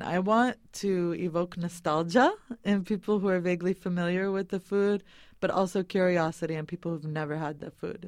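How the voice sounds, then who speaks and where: In a plain, everyday voice with an American accent, the speaker keeps a moderate pace and ordinary pitch variation against a quiet background. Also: woman. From New England, US (Boston). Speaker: food caterer and activist. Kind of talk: interview. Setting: studio.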